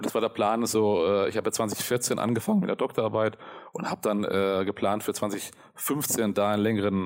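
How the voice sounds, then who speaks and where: His intonation stays fairly even. The man's pitch sits fairly low. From Germany (Karlsruhe), German-Italian upbringing. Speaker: media scholar. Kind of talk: interview. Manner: halting, many fillers.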